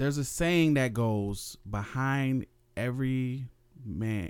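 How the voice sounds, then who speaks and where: A man with an American accent and an unremarkable speaking voice, medium in pitch, with ordinary pitch variation. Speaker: podcast co-host. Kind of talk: casual chat. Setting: home recording.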